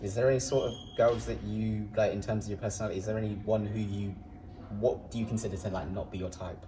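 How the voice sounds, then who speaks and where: Against music in the background and audible room echo, a man with an English accent talks at a very fast pace with fairly even intonation. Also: fairly low pitch for a man. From England, Peterborough. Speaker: sprinter. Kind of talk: casual chat.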